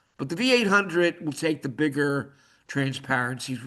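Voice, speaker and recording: Against a quiet background, a man with a fairly high pitch and a bright, sharp tone speaks with ordinary pitch variation. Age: 70s. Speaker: railroad photo collection presenter. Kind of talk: casual Q&A after presentation. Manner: halting, repetitive.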